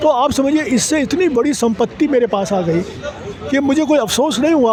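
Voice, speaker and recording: Noticeable background noise runs under the recording. Over it, a man talks with lively intonation. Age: 80s+. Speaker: literary scholar and author. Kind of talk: interview. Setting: literature festival.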